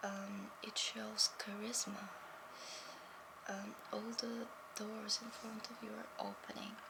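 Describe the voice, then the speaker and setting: A woman whispers at a fairly slow pace with long, frequent pauses and big swings in loudness over loud background noise. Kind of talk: ASMR role play. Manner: soft-spoken.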